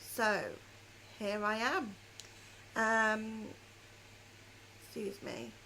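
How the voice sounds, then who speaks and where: In a room with audible echo, a woman with a fairly high, bright, sharp voice speaks very slowly with fairly even intonation. She leaves long, frequent pauses. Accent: British. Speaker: knitting and crochet podcaster. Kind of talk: casual chat.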